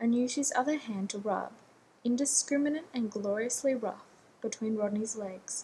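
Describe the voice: Plain reading aloud, the pitch rising and falling in an ordinary way.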